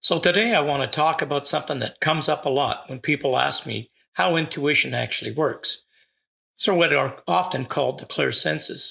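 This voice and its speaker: Recorded very cleanly with complete silence around him, a man speaks at a medium tempo. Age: 60s. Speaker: psychic medium podcast host. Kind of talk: podcast monologue.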